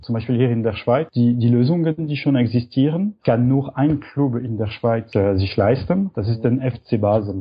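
A somewhat breathy man at medium pitch, with hardly any pauses. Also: ordinary pitch variation, moderate pace. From French-speaking Switzerland. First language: French (speaking German). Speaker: startup co-founder. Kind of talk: interview. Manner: halting, with fillers.

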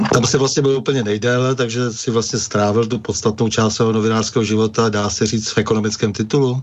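Over noticeable background noise, the voice runs at a fairly quick pace with hardly any pauses, very even loudness and a monotone, flat intonation. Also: man, medium pitch for a man. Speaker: radio host. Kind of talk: interview discussion. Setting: radio studio. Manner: formal.

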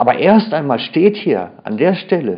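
This man's pitch swings very widely. He talks at a very slow pace. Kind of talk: sermon. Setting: church. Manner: earnest, expository, emphatic; careful, formal standard German.

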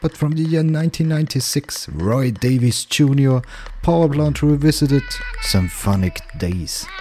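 Over noticeable background noise, a man speaks at a very slow pace in an upbeat tone with very wide pitch swings. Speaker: radio DJ. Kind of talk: radio DJ patter. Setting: radio studio broadcast. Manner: brisk, smooth presenter delivery; upbeat, laid-back and friendly.

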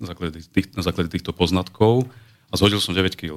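A man talks with a very deep, low pitch and fairly even intonation at a moderate pace. The recording is very clean, with a silent background. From Slovakia, rural village. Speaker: home exercise method creator. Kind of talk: radio interview. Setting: studio.

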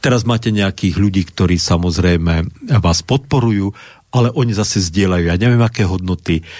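A man's very deep, low pitch at a fairly quick pace, with very even loudness and ordinary pitch variation, on a very clean recording with a silent background. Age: old. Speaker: Lutheran pastor and historian. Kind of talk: radio discussion. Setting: radio studio.

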